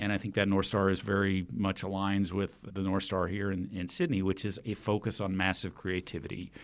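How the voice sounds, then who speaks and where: A man with a Texan accent and a fairly low pitch, fairly quick with hardly any pauses, in a monotone, flat intonation, over a very clean, silent background. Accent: Texan American. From Texas, Austin. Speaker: festival organiser. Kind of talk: interview. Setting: studio.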